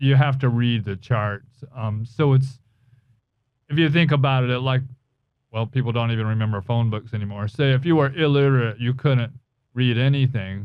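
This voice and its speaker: A moderate tempo and normal variation in pitch. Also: man, medium pitch for a man. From US South, North Carolina. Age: 60s. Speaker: jazz guitarist and podcast host. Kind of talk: casual chat. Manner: halting.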